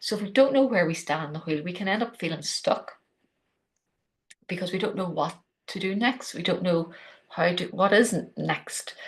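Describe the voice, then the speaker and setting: A woman with an Irish accent, medium in pitch and somewhat breathy, at a moderate pace with long, frequent pauses and ordinary pitch variation. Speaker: podcast host. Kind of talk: solo podcast talk on spirituality.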